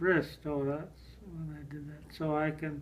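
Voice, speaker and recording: Monotone, flat intonation at a fairly slow pace, with audible room echo. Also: man. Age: 80s+. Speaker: elderly father. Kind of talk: reading aloud. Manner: halting.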